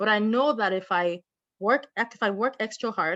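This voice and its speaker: Against a quiet background, a woman speaks at a moderate pace with ordinary pitch variation, the sound dry and close with no echo. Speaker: workshop presenter. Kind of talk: online workshop talk.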